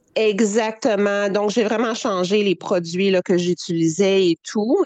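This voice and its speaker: With a Quebec accent, a woman speaks at medium pitch in a dry, close sound with no echo. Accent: Québécois French. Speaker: animal rights activist. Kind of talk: interview. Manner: hesitant with fillers.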